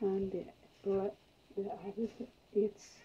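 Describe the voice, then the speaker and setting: With a non-native accent, this voice moves at a very slow pace in a monotone, flat intonation. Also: woman. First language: non-native English speaker. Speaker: acrylic pouring artist. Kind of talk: art tutorial demonstration. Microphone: phone near.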